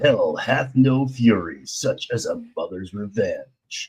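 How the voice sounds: A man performs a put-on character voice with a dramatic, theatrical tone. He delivers it at a fairly slow pace.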